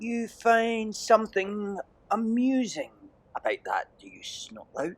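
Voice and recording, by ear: A man puts on a character voice at a high pitch. He speaks slowly, with very wide pitch swings.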